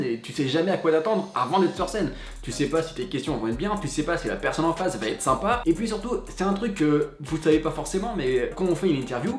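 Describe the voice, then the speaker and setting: Over noticeable background noise, a man with a high voice talks at a very fast pace in an animated tone, with lively intonation and hardly any pauses. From western France (Cholet, Maine-et-Loire). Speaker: entertainment journalist, YouTuber. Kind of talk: casual vlog FAQ.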